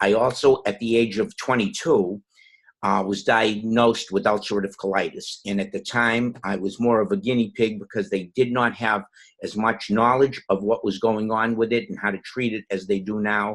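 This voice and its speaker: Speaking with a Boston accent, a man has a medium pitch and a moderate pace. His intonation stays monotone and flat. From Boston, Massachusetts. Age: 60s. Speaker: network marketing distributor. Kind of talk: personal testimony.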